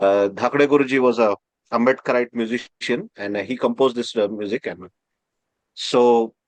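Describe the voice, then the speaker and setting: With an Indian accent, a man speaks at a moderate pace and medium pitch, his intonation fairly even and the sound dry and close with no echo. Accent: Indian (Marathi) English. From India, Maharashtra. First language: Marathi. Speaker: professor. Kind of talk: interview. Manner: halting, many fillers.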